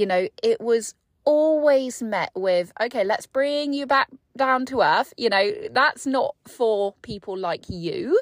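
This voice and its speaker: Very wide pitch swings at a very slow pace, with a dry, close sound and no echo. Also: woman, high pitch for a woman. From England, North Devon. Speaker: podcast host and business coach. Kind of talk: casual monologue. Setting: parked car. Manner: conversational, off the cuff.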